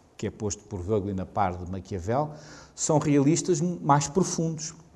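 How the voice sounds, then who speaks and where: In a European Portuguese accent, a man speaks at a fairly slow pace with a fairly high pitch, very wide pitch swings and a dark, mellow tone with vocal fry. Audible room echo is present. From Portugal. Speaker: professor. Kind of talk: lecture. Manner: halting.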